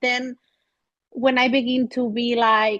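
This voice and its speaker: Speaking very slowly in an Andalusian accent, a woman keeps her intonation fairly even. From Spain. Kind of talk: podcast conversation.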